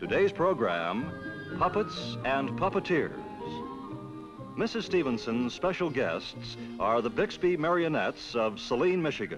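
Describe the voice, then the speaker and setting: Over music in the background, a man speaks very slowly at medium pitch with hardly any pauses. His pitch swings very widely while his loudness stays very even. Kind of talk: TV announcer intro.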